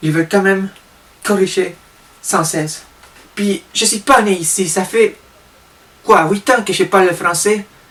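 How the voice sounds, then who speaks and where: Speaking with a Spanish accent, a man talks fairly slowly at a high pitch, with fairly even intonation and long, frequent pauses. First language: Spanish (speaking French). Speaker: vlogger. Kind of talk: comedic vlog monologue.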